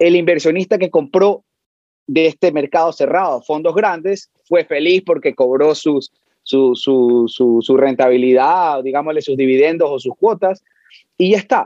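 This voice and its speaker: A plain, everyday voice from a man, fairly high in pitch and fairly slow, with ordinary pitch variation. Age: 30s. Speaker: brokerage firm president. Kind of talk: interview.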